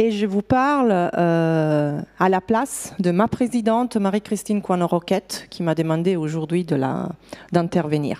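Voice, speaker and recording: Speaking at a fairly slow pace with an Italian accent, a woman has a fairly low pitch and a dark, mellow tone. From Italy. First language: Italian (speaking French). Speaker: HR director. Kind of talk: conference talk. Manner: halting, many fillers.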